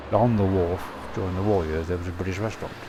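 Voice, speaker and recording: A man with a West Country accent, amid audible room echo and noticeable background noise. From England, Stroud, Gloucestershire. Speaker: local resident recalling the past. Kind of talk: oral history interview.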